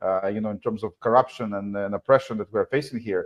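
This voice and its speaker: Speaking at a fairly quick pace, a man with a non-native accent uses ordinary pitch variation. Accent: foreign. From former Soviet Union / Israel. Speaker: advocate against family court corruption. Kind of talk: live talk show interview. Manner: halting, many fillers.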